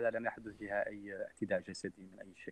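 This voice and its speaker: At a moderate pace and medium pitch, a man speaks in an ordinary speaking voice, with a dry, close sound and no echo. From Mauritania. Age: 30s. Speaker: human rights activist. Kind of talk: interview.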